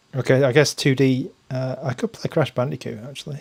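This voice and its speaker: Speaking at a moderate pace, a man with an English accent has a medium pitch and some vocal fry. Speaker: tech reviewer, gaming streamer. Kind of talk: live stream commentary while gaming. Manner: casual, hesitant with fillers.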